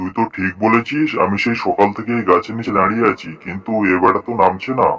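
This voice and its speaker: Using a cartoonish character voice, a man talks at a fairly quick pace in a medium pitch. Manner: gruff, bossy.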